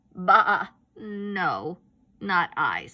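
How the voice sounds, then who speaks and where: A woman does a put-on character voice. Her pitch sits in the medium range. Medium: read story. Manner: curt, bleating.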